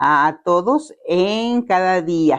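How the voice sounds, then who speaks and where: A woman is talking. The background is quiet. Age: 60s. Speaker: family therapist, community leader. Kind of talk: testimony interview.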